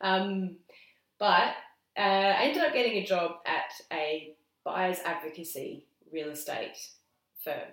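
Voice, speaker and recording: With an Australian accent, a woman talks at a fairly slow pace with long, frequent pauses, lively intonation and a medium pitch, and the room echo is audible. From South Australia. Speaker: graphic designer. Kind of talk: casual interview. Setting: at a kitchen table. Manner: halting.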